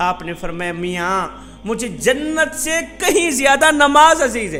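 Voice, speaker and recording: A man speaks in an extremely high pitch with very wide pitch swings, his voice raised and projected over noticeable background noise. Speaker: Islamic preacher. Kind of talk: Islamic sermon (bayan).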